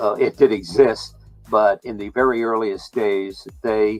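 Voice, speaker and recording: A man's fairly low voice at a fairly slow pace, fairly even in intonation, with music in the background. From New York, also raised in US South. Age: 80s+. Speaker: basketball league executive. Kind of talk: interview. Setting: talk show.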